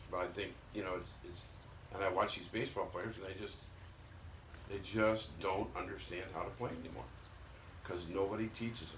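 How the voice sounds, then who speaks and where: Speech comes at a fairly quick pace in an American accent, broken by long, frequent pauses and ordinary pitch variation. Noticeable background noise and audible room echo fill the recording. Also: man, fairly low pitch for a man. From Missouri. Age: 70s. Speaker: retired former baseball player. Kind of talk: casual chat. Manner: blunt, emphatic.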